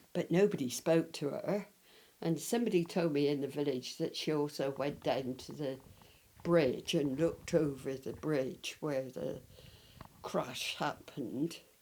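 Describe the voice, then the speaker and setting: In a West Country accent, a woman speaks at a fairly slow pace with a very deep, low pitch. Her tone is dark and mellow, with ordinary pitch variation. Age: 80s+. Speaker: local resident, eyewitness of village history. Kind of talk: interview, reminiscing.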